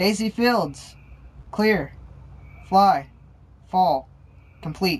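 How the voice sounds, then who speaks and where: A female-sounding put-on character voice sits at a middle pitch. It moves at a very slow pace, broken by long, frequent pauses. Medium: read story. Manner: curt, commanding.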